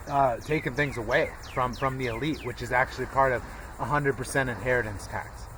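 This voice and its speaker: Fairly quick, monotone speech with flat intonation, audible room echo and noticeable background noise. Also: man, medium pitch for a man. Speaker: conspiracy and history vlogger. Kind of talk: solo monologue lecture. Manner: fast; halting, repetitive filler words.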